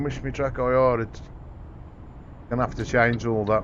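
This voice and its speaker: A man's voice at medium pitch and moderate pace. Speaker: gaming streamer. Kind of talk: casual live-stream chat while gaming. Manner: relaxed, chatty.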